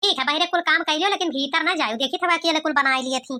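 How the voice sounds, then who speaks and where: In a put-on character voice, a woman speaks at a very fast pace. Her voice is squeaky and extremely high. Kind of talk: animated cartoon dubbing. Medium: cartoon. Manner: bossy, scolding.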